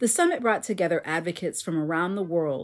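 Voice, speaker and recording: In an American accent, a woman uses an ordinary speaking voice with lively intonation on a very clean recording with a silent background. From Florida. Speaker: podcast host. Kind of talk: scripted narration.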